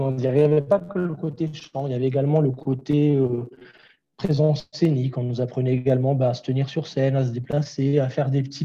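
A man talks at a fairly quick pace with a fairly high pitch and a dark, mellow tone. His delivery is somewhat breathy, with fairly even intonation. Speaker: vocal coach and singer. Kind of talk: interview. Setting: remote call. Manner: frequent laughter. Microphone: poor Wi-Fi connection audio issues.

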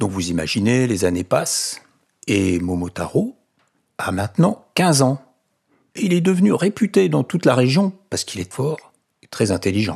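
Using an animated, warm tone, a man of medium pitch speaks at a fairly slow pace with very wide pitch swings and long, frequent pauses. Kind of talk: bedtime story telling. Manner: warm, chatty storyteller who breaks off to ask listeners questions and comment; animated, playing the characters with different voices and sound effects.

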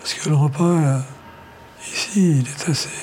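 Soft-spoken and fairly high in pitch, a man talks with ordinary pitch variation over noticeable background noise. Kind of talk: interview.

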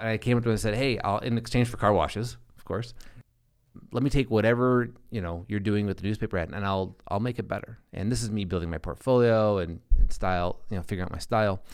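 A man's fairly low voice with an Upper Midwest accent, at a very fast pace, on a very clean recording with a silent background. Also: ordinary pitch variation. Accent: Upper Midwest American. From South Dakota, small town near Sioux Falls. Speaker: advertising agency founder. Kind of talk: casual interview.

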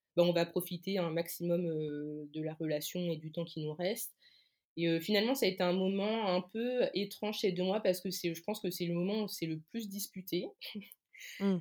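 A woman with an ordinary speaking voice, fairly low pitch, fairly even intonation and a moderate pace, on a very clean recording with a silent background. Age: 20s. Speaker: communications freelancer and Instagram author. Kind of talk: interview testimony.

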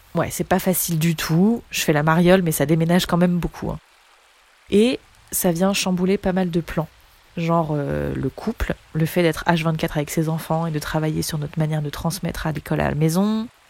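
A woman with a plain, everyday voice speaks at a fairly low pitch. Her intonation is fairly even and her pace moderate. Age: 20s. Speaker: speech therapist and singer. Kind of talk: personal monologue.

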